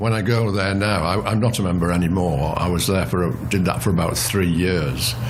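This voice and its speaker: Over noticeable background noise and audible room echo, a man with an English accent and a very deep, low voice talks fairly quickly with hardly any pauses, ordinary pitch variation and very even loudness. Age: 70s. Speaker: patient representative. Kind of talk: interview. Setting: office. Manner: halting.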